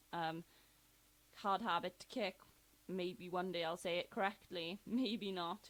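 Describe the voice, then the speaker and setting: A woman speaks with an English accent. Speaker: YouTuber. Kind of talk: casual vlog countdown. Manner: fast; hesitant, many fillers.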